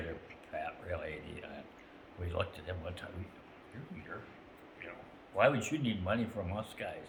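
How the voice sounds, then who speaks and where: A man talks at a moderate pace, leaving long, frequent pauses and making big swings in loudness. Noticeable background noise runs underneath. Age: 80s+. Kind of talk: casual reminiscing story.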